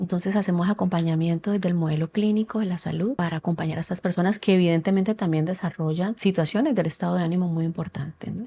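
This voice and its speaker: A woman speaks at a very fast pace with hardly any pauses and fairly even intonation. Her voice is fairly low, somewhat breathy and has a dark, mellow tone. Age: 40s. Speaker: psychologist. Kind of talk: casual chat.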